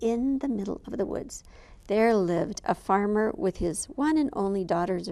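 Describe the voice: Someone does plain reading aloud with a lively rise and fall in the intonation.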